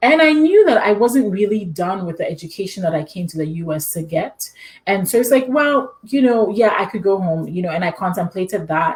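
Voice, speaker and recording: A woman with a Ghanaian accent at a fairly quick pace, with very wide pitch swings and hardly any pauses, over noticeable background noise. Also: medium pitch for a woman. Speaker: immunology PhD and adjunct professor. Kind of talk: interview.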